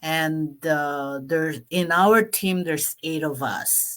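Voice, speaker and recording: With a Filipino accent, a woman talks at a very slow pace in a very deep, low pitch, her bright, sharp tone showing ordinary pitch variation. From Philippines (Pampanga). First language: Kapampangan. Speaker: online business vlogger. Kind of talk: live stream talk. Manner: halting, many fillers.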